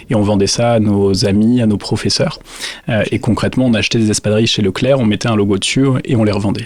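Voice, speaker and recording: Very fast speech with very even loudness and fairly even intonation against noticeable background noise. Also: man, fairly low pitch for a man. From southwestern France (Dax, Landes). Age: 30s. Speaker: business owner. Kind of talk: interview. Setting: factory visit.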